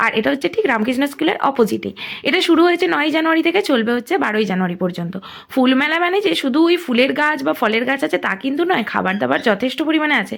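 A woman speaks in a high pitch. Her voice moves in very wide pitch swings. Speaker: vlogger. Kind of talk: vlog walkthrough narration. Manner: casual, chatty.

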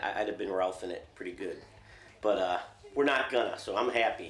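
A man's voice with audible room echo. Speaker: hunter on a guided trip. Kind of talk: casual vlog chat. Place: home room.

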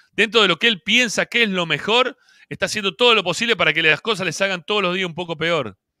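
A man talks very fast in a raised, projected voice with a high pitch, ordinary pitch variation and an animated tone. His tone is bright and sharp, the sound dry with no echo, the background quiet. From Argentina. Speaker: football fan podcast host; show host. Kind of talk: post-match fan reaction show. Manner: animated, heated. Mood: frustrated, critical. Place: home room. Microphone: handheld.

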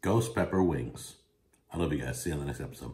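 A man talks at a fairly quick pace with vocal fry and lively intonation. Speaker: food reviewer. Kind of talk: casual food review vlog. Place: home room. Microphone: phone near.

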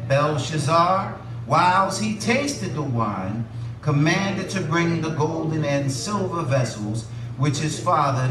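Noticeable background noise fills the recording. A man speaks at a fairly slow pace. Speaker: pastor. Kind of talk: scripture reading in sermon. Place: church.

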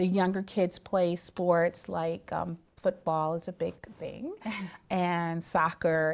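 With an American accent, the speaker goes at a moderate pace with fairly even intonation. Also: woman. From upstate New York. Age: 40s. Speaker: attorney. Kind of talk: interview. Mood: calm, explanatory. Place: studio.

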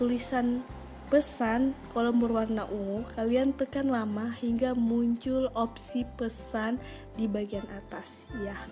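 Over music in the background, a woman speaks very slowly. Her pitch is fairly high and her intonation fairly even. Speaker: mobile game tutorial creator. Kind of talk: tutorial voice-over. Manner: casual, friendly.

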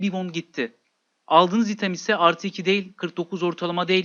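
The speaker is a man. His voice is high in pitch. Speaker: gaming YouTuber. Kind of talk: gameplay tutorial.

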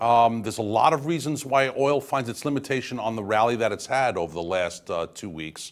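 Speaking at a fairly quick pace with vocal fry and very wide pitch swings, a man is heard over a quiet background. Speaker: guest. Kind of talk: interview answer. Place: studio.

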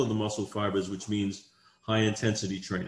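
Somewhat breathy, this man's voice carries audible room echo. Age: 60s. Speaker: exercise scientist. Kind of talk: interview answer. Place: home room. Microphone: video call.

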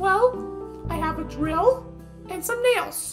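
In a cartoonish character voice, a woman speaks slowly at an extremely high pitch with lively intonation and a fairly bright tone, faint music playing in the background.

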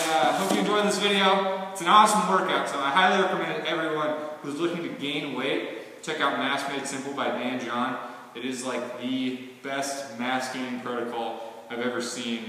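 A man talks at a moderate pace. There is strong room echo and light background noise. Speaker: fitness vlogger. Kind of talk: casual vlog chat. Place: gym. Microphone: camera far.

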